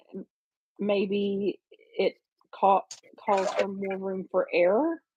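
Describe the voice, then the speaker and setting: With a Southern US accent, a woman at medium pitch is heard in a dry, close sound with no echo against a quiet background. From US South. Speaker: crafting livestream host. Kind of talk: casual chat. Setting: livestream.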